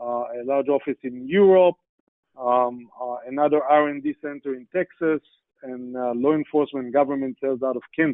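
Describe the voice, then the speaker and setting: A man with an Israeli accent, medium pitch and fairly even intonation, at a moderate pace with big swings in loudness. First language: Hebrew. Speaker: sales executive, guest speaker. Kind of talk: business presentation. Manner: hesitant, many fillers.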